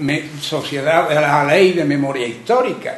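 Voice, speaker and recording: A man with an Andalusian accent speaks very slowly and with lively intonation, in a room with audible echo and noticeable background noise. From Carmona, Andalusia. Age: 80s+. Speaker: audience member, civil war witness. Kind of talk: public testimony.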